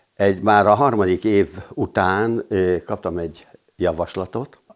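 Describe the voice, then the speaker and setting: A man speaks at a very deep, low pitch. The background is quiet. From Hungary, Szeged; Hungary. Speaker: retired PE teacher and handball coach; retired PE teacher, handball coach. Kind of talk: interview testimony. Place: home room. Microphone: lapel.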